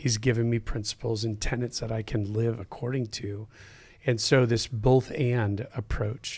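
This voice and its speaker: A man's somewhat breathy, medium-pitched voice with an American accent, fairly slow and monotone in flat intonation. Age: 50s. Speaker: pastor. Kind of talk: casual chat.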